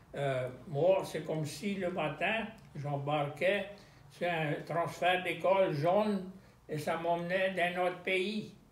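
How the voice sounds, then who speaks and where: Speaking at a very slow pace in a Louisiana accent, a man uses a high pitch and fairly even intonation over noticeable background noise. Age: 80s+. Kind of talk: interview answer.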